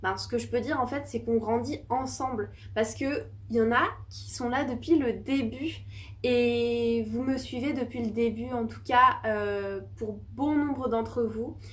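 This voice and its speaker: Audible room echo hangs around the woman as she talks fairly slowly. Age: 20s. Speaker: small business owner and YouTuber. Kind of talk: casual vlog talk to camera. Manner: hesitant, many fillers.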